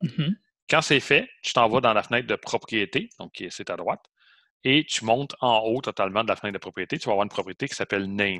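A man with a medium pitch and a bright, sharp tone talks at a fairly quick pace with ordinary pitch variation, in a dry, close sound with no echo. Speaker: college programming teacher. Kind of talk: online lecture.

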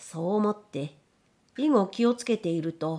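Very wide pitch swings at a fairly slow pace. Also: woman. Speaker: audiobook narrator. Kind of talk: literary audiobook reading.

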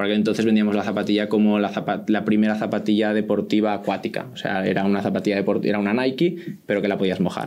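The man's voice has a fairly low pitch and a dark, mellow tone. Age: 20s. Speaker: startup founder; guest. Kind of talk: interview. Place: meeting room. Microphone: studio mic.

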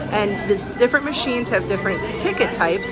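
A woman talks at a fairly quick pace with ordinary pitch variation. Loud music fills the background. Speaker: travel vlogger. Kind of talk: casual vlog chat. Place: station. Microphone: phone near.

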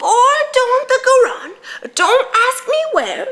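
In a put-on character voice, a woman speaks at a fairly slow pace with an extremely high pitch. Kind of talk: theatrical monologue. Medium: stage play. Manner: rambling, repetitive. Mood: wistful rambling.

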